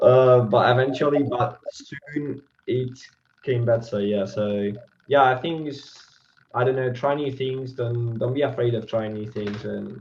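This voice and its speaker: A man with a non-native accent speaks fairly slowly at a medium pitch, his intonation fairly even. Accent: learner accent leaning British. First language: Spanish. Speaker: language learner, channel host. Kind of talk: casual interview.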